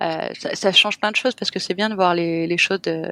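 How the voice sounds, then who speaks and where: The recording is very clean, with a silent background and a dry, close sound with no echo. A woman talks at a fairly low pitch and a moderate pace, with ordinary pitch variation. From France, Cannes (French Riviera). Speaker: hotel owner, entrepreneur. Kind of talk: podcast interview. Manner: hesitant, many fillers.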